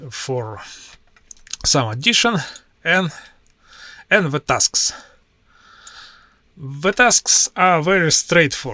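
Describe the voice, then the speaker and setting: In a Russian accent, a man talks very slowly with very wide pitch swings and a bright, sharp tone, recorded dry and close with no echo. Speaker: IT professional and tech YouTuber. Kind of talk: screen-share tutorial. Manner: halting, with many filler sounds.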